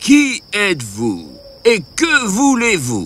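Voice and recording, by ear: A man speaks in a put-on character voice, pitched high with a fairly bright tone. His pitch swings very widely, and his pace is slow.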